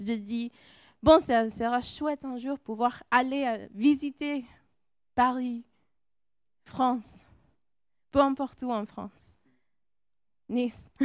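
In a very clean recording with a silent background and a dry, close sound with no echo, a high-pitched woman speaks at a very slow pace with long, frequent pauses, fairly even intonation and big swings in loudness. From California, Mexican-Salvadoran family. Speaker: missionary. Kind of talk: testimony. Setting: church.

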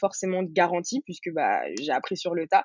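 In a plain, everyday voice, a woman speaks at medium pitch and a moderate pace. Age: 20s. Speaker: entrepreneur, founder of a hair care brand. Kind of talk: interview.

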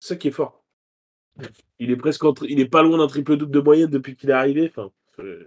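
A man's voice, fairly high in pitch, racing along very fast. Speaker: basketball podcast co-host. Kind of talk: casual chat.

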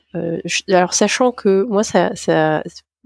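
A woman's medium-pitched voice comes across dry and close, with no echo. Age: 40s. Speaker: geriatrician, care home doctor. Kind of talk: interview. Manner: hesitant, many fillers.

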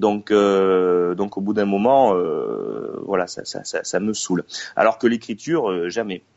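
In a southern French accent, a man speaks at a very slow pace. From southeastern France, Gard. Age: 20s. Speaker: playwright, one-man-show comedian and drama teacher. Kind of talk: casual interview. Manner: halting, many repeated words.

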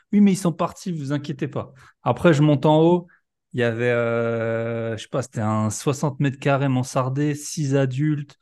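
Over a quiet background, a man with a plain, everyday voice speaks at a moderate pace, with a medium pitch and ordinary pitch variation. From Alsace, France. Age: 30s. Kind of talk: casual chat.

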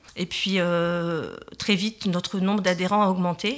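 A woman's voice at a medium pitch. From northern France, Tourcoing. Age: 40s. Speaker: parents' association president. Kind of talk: radio interview. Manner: hesitant, many fillers.

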